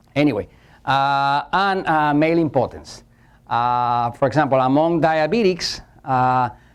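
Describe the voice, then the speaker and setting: A man's fairly high voice at a fairly slow pace, very even in loudness, with ordinary pitch variation and a quiet background. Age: 60s. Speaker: metabolism specialist giving a seminar. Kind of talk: lecture. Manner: hesitant with many fillers.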